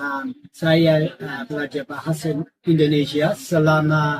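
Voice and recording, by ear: Slow and fairly high in pitch, a man's voice carries a slightly husky edge.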